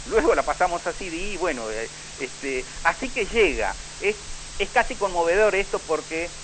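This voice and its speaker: Noticeable background noise under a man's moderately paced, high-pitched speech with very wide pitch swings. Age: 60s. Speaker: local historian. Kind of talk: radio interview. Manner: halting.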